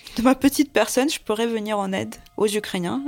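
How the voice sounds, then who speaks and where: A woman with a Russian accent. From Siberia, Russia (Tyumen). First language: Russian (speaking French). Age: 20s. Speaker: volunteer translator. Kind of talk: testimony. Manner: halting.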